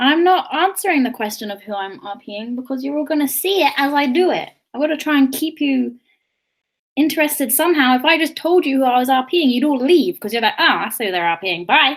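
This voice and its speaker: Speaking at a fairly quick pace, a woman with a high-pitched voice uses lively intonation. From southern England (London early childhood). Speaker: beauty and cosplay livestreamer. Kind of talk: casual livestream chat during makeup. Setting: livestream. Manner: chatty, animated.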